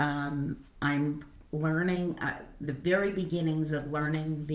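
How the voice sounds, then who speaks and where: Audible room echo surrounds a woman with a Brooklyn accent whose very deep, low voice holds fairly even intonation. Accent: Brooklyn New York. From Brooklyn, New York. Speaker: senior learner. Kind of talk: casual chat.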